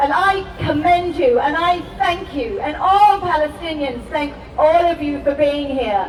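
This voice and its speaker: A woman with a high pitch talks at a fairly slow pace, with ordinary pitch variation. Audible room echo and noticeable background noise surround her voice. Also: hardly any pauses. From Palestine. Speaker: activist. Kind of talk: rally speech. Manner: impassioned.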